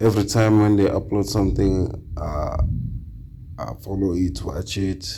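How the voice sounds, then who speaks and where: A man with a non-native accent talks in a fairly low pitch with fairly even intonation, amid noticeable background noise and audible room echo. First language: not English. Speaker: reaction channel host. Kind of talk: casual chat. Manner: halting.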